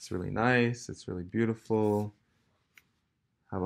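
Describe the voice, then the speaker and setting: This man has a normal speaking voice with fairly low pitch and talks at a moderate pace. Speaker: vlogger. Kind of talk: casual vlog chat. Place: home room. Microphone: phone near.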